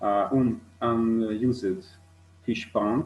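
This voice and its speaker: Music plays in the background as a man speaks. He has a medium pitch and a Hungarian accent. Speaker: ornithologist. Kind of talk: conference presentation. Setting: online video call. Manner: halting, many fillers.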